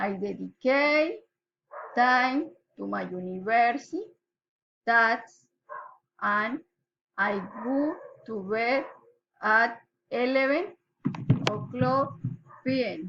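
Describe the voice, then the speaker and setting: In a Colombian accent, a woman with a fairly high pitch and a bright, sharp tone speaks at a very slow pace, with lively intonation and long, frequent pauses. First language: Spanish. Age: 20s. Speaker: pharmacy assistant. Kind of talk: student self-introduction recording. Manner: slow, read aloud.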